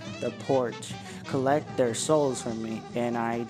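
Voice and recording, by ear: Read aloud in a natural voice, the passage moves with fairly even intonation.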